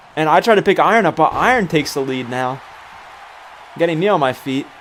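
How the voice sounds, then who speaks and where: A man with a fairly high pitch talks at a very fast pace in an animated tone and with lively intonation, with crowd noise in the background. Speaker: gaming streamer. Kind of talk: live commentary.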